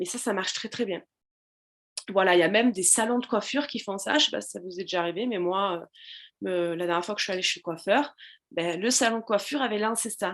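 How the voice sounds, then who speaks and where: Against a quiet background, a woman with a medium pitch and ordinary pitch variation speaks at a very fast pace, with long, frequent pauses. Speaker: social media business coach. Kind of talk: live stream tutorial. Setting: live video stream with chat. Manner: hesitant with many fillers.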